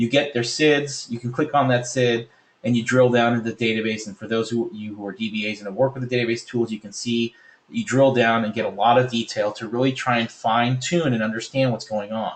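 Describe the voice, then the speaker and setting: A man talks at a fairly quick pace. His medium-pitched voice keeps fairly even intonation. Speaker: software presenter. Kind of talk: webinar product demo. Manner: fast.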